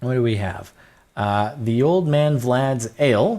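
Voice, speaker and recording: With an American accent, a man talks in an animated tone at a medium pitch, his voice making very wide pitch swings. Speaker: gaming YouTuber. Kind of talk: Minecraft let's play commentary. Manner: casual, animated.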